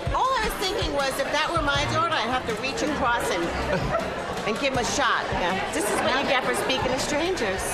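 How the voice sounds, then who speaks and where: Loud music plays in the background. A woman talks over it at a fairly quick pace. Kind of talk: casual conversation. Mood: amused, warm, teasing. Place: bar.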